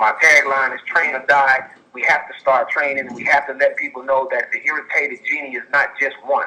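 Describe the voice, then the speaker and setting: Big swings in loudness at a fairly quick pace, with hardly any pauses. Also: man. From Chicago. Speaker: caller. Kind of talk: call-in testimony. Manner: fast.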